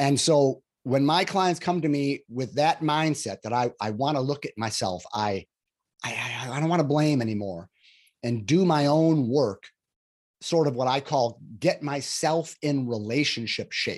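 With a normal speaking voice, a man talks at a fairly slow pace in a fairly high pitch, with ordinary pitch variation and a quiet background. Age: 60s. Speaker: relationship coach. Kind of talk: interview.

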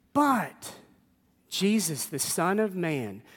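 An animated tone with very wide pitch swings on a very clean recording with a silent background. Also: man. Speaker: preacher. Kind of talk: sermon to a live congregation, scripture reading then preaching. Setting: church. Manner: animated, conversational, humorous, with audience call-and-response.

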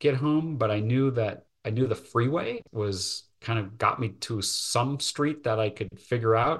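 A man talks at a moderate pace and medium pitch, with hardly any pauses. His voice is somewhat breathy with ordinary pitch variation, against a quiet background. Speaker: lawyer and businessman. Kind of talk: interview. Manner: hesitant, with repetitions.

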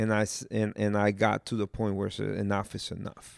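On a very clean recording with a silent background, a man speaks in a fairly low pitch with fairly even intonation. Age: 40s. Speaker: pastor. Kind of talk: casual chat. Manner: halting.

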